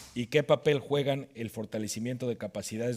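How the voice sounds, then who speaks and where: A man with a Mexican accent at a moderate pace, fairly even intonation, on a very clean recording with a silent background. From Mexico. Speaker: panel moderator. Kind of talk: panel discussion.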